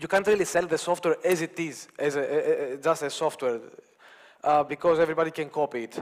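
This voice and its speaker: A man with a non-native accent and a high pitch talks at a very fast pace. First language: not English. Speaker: conference speaker, open source company founder. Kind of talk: conference talk. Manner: halting, many fillers.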